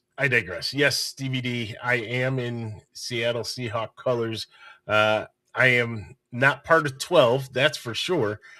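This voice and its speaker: Here a man speaks at a very slow pace and a medium pitch. His tone is bright and sharp, with fairly even intonation. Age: old. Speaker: sports podcast host. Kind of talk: casual chat.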